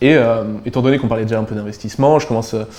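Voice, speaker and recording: Against noticeable background noise, a man with a southern French accent speaks very fast at medium pitch with fairly even intonation. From southern France, near Avignon. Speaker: crypto entrepreneur. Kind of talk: casual interview. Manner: hesitant, many fillers.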